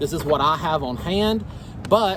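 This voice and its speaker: Over noticeable background noise, a man with an American accent talks at a moderate pace and a fairly high pitch. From US South. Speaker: gardening YouTuber. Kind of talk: tutorial. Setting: outdoors in the garden. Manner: halting, many fillers; casual.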